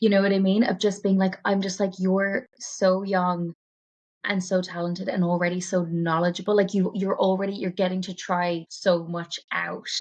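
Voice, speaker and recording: In a Cork accent, a woman speaks at a medium pitch, somewhat breathy, with a monotone, flat intonation. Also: moderate pace. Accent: Irish (Cork). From West Cork, Ireland. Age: 30s. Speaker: poet, writer and performer. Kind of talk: podcast interview answer. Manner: casual, rambling.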